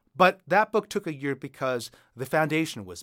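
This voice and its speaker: With very wide pitch swings, a man talks in an American accent at a moderate pace. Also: very clean recording, silent background. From United States. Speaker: author and creative writing instructor. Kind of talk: interview about writing.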